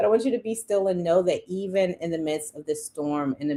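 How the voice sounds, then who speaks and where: A woman's fairly low-pitched voice with a dark, mellow tone. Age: 40s. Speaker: budgeting coach and live streamer. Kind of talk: live stream pitch for a budgeting challenge. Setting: live stream. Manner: fast; animated, hyperactive.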